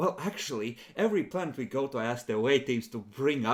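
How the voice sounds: Simply a natural reading voice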